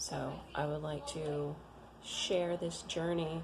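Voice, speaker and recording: Clear background noise plus some audible reverb from the room. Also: woman. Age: 30s. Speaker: Bible reading vlogger. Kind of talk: casual chat. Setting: home. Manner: halting.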